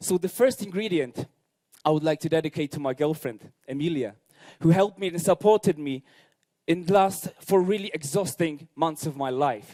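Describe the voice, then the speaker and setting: The speaker has a Polish accent and a dark, mellow tone, talking at a moderate pace with ordinary pitch variation. The sound is dry and close, with no echo. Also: man, fairly high pitch for a man. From Poland. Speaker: bartender. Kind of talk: competition presentation. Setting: stage with audience.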